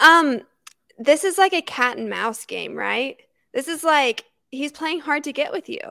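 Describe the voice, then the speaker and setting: Against a quiet background, a woman speaks in a raised, projected voice, high-pitched and bright, sharp in tone, with lively intonation at a moderate pace. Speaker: sports podcast co-host. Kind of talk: casual chat. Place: home room. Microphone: handheld.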